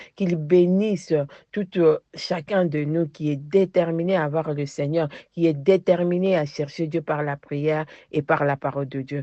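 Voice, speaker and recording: A woman speaks at a fairly slow pace in a very deep, low voice. Her intonation stays fairly even. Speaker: preacher. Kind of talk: sermon. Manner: fervent.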